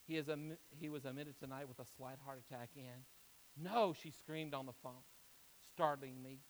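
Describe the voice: The reading aloud is plain, and its intonation stays fairly even.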